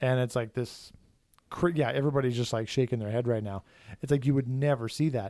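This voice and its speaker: A man's dark, mellow tone at a medium pitch and fairly quick pace, in a very clean recording with a silent background. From Saskatchewan, Canada. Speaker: podcast host, students union director. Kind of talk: casual chat.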